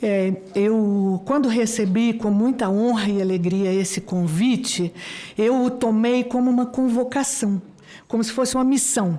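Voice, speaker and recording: A woman with a fairly high voice speaks at a fairly slow pace. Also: ordinary pitch variation. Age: 60s. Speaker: university professor. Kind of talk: formal speech at public hearing. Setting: senate committee hearing room. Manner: halting, with many fillers.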